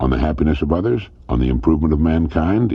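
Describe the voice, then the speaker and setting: This man's voice is very deep and low, with vocal fry. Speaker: motivational radio speaker. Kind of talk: motivational speech, addressing listener directly.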